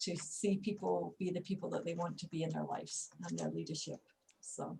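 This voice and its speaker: A woman talks at a fairly quick pace. She has a Scottish accent. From Scotland. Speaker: leadership coach, co-host. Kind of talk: video call discussion.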